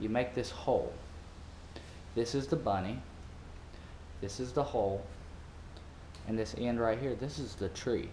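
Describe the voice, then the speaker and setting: With an American accent, a man speaks at a moderate pace and medium pitch, his dark, mellow tone carrying vocal fry and ordinary pitch variation, broken by long, frequent pauses amid audible room echo. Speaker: parasailing worker. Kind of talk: tutorial. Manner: casual.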